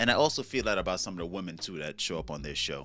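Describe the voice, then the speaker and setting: With music playing in the background, a man talks in a New York accent. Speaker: YouTube commentary host. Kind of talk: casual commentary monologue.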